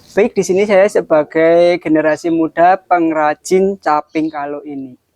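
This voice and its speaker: A man's high-pitched voice in a dry, close sound with no echo. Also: fairly even intonation, fairly slow pace. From Kudus, Central Java, Indonesia. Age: 20s. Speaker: young craftsman. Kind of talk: interview. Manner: casual.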